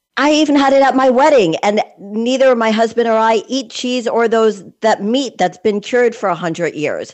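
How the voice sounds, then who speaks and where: A woman speaks at a moderate pace with an American accent and fairly high pitch. Her intonation is lively in an unremarkable speaking voice. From Connecticut. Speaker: podcast host. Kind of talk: casual interview.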